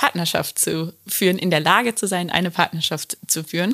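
A plain, everyday voice from a woman, fairly low, with fairly even intonation and a fairly quick pace. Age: 30s. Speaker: relationship coach. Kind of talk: casual interview.

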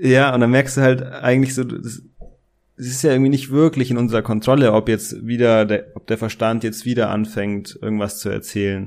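With an unremarkable speaking voice, a man of medium pitch talks at a moderate pace with fairly even intonation. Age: 20s. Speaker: business coach. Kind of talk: casual interview.

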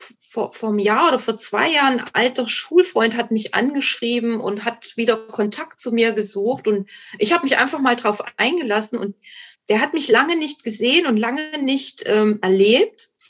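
This woman's voice is pitched high. Its pitch variation is ordinary. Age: 50s. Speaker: guest sharing recovery from alcohol addiction. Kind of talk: casual interview chat. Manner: halting, many fillers and restarts.

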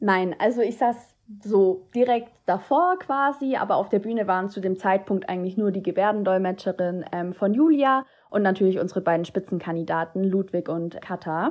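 A woman talks in a plain, everyday voice at medium pitch. Her pace is moderate, with ordinary pitch variation. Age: 20s. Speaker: student teacher and political candidate. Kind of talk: interview.

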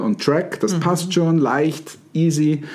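The man keeps a moderate tempo as clearly audible background noise sits beneath him. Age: 50s. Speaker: NLP trainer and podcast host. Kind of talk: casual chat.

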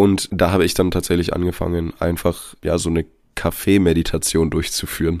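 The delivery is fairly quick and flat, in a monotone. The recording is very clean, with a silent background. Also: man, very deep, low pitch for a man. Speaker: health and fitness podcast host. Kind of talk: casual chat.

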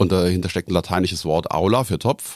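Very deep and low, a man's voice moves at a fairly quick pace in a dry, close sound with no echo and a very clean recording with a silent background. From Rhineland-Palatinate, Koblenz area. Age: 50s. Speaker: genealogist. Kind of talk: interview.

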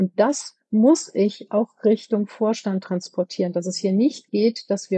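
A woman speaks in an unremarkable speaking voice at a medium pitch. Her pace is moderate. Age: 50s. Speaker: company board member for products. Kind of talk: interview.

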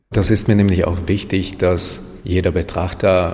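A man with a Hungarian accent speaks at a moderate pace, his very deep, low pitch held in a monotone, flat intonation. Audible room echo and noticeable background noise surround him. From Hungary, raised in Germany. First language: Hungarian (speaking German). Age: 30s. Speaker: painter and photographer. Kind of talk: interview.

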